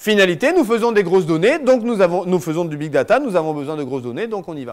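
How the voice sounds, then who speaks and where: A man's high voice rises and falls in very wide pitch swings. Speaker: lawyer giving a talk. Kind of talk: lecture. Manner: fast; animated.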